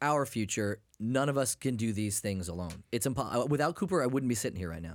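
A man with an ordinary speaking voice and an American accent talks at a fairly quick pace with hardly any pauses on a very clean recording with a silent background. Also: medium pitch for a man, lively intonation. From US New England. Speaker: podcast co-host. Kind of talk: casual chat.

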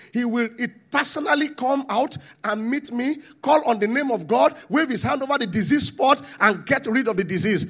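Speaking at a fairly slow pace with a Nigerian accent, the man's pitch swings very widely. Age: 40s. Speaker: pastor. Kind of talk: sermon.

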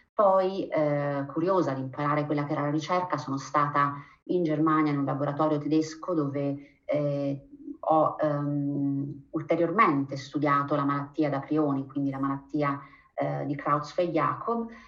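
Fairly slow speech in fairly even intonation, with audible room echo. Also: woman, very deep, low pitch for a woman. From Abruzzo, Italy. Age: 40s. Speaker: physician and researcher. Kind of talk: interview.

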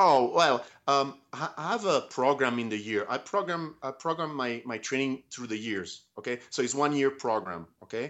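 Speaking at a moderate pace with hardly any pauses, a man uses lively intonation at a medium pitch. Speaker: tattoo artist. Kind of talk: interview. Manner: halting.

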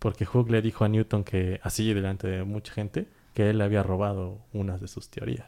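A man's fairly low, dark, mellow voice at a moderate pace with fairly even intonation, on a very clean recording with a silent background. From Mexico. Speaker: podcast co-host. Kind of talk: casual chat.

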